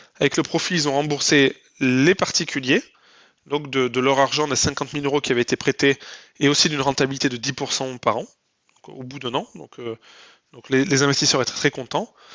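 A man talks at a moderate pace with a fairly high pitch and fairly even intonation. His loudness swings widely, and he takes long, frequent pauses. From southwest France (Lot). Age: 30s. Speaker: entrepreneur. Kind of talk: interview. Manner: hesitant with fillers.

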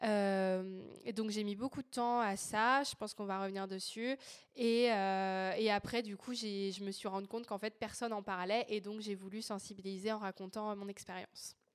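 A woman speaking fairly slowly in a monotone, flat delivery. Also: medium pitch for a woman. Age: 20s. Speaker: feminist activist and communications entrepreneur. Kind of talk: testimony. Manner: hesitant, many fillers.

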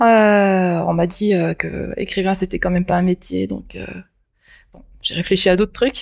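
A woman talks at a fairly slow pace with long, frequent pauses and big swings in loudness, in a very clean recording with a silent background. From Japan, moved to France at 6 or 7. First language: Japanese (speaking French). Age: 50s. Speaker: science fiction author. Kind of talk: interview.

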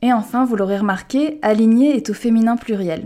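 Her tone dark and mellow, a woman with a fairly high pitch speaks at a fairly quick pace with ordinary pitch variation. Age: 30s. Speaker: podcast host and art director. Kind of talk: scripted podcast introduction.

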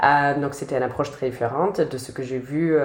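A woman with a very deep, low pitch talks at a fairly quick pace amid noticeable background noise and audible room echo. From United States. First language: English (speaking French). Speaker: sociology PhD student. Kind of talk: interview.

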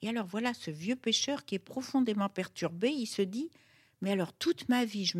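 Her voice fairly high and somewhat breathy, a woman speaks at a fairly slow pace in a dry, close recording with no echo. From Morocco, Fès. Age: 70s. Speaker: writer and cook. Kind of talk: intimate interview. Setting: at her home.

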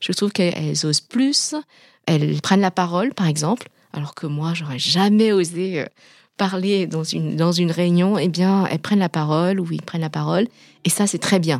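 A woman with a Vietnamese accent, fairly low in pitch, at a moderate pace, in a very clean recording with a silent background and a dry, close sound with no echo. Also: ordinary pitch variation. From Vietnam, then France from age 11. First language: Vietnamese (speaking French). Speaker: pharmaceutical executive. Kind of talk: interview testimony. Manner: hesitant, many fillers.

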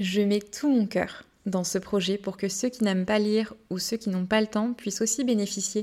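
This woman's voice is somewhat breathy, captured in a very clean recording with a silent background. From Brittany, France. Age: 20s. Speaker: podcast host. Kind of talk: scripted monologue.

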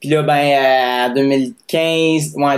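Speaking with a Quebec accent, a man uses fairly even intonation. His pitch is fairly high. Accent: Québécois French. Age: 20s. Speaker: singer-songwriter. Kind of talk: casual interview testimony.

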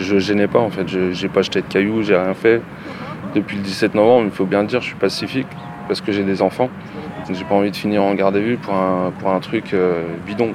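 Over noticeable background noise, the speaker goes at a fairly quick pace in a monotone, flat intonation with long, frequent pauses. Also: man, fairly low pitch for a man. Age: 40s. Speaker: factory worker, injured protester. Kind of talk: testimony.

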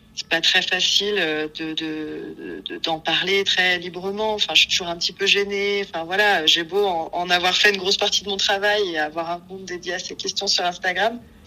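Medium-pitched and flat, a woman's voice moves at a moderate pace with hardly any pauses. Noticeable background noise runs underneath. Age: 30s. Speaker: psycho-corporal therapist. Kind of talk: casual interview.

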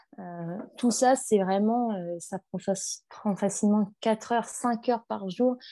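A woman speaks at a very slow pace with a dark, mellow tone and a fairly high pitch. Her pitch variation is ordinary, and the background is quiet. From northern France. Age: 20s. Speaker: clothing brand founder. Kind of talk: interview. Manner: halting.

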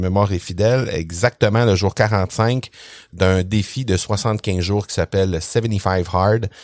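Speaking very slowly in a Quebec accent, a man with a fairly low pitch uses ordinary pitch variation, recorded with a dry, close sound and no echo. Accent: Québécois. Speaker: podcasting consultant and trainer. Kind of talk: interview. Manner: hesitant, many fillers.

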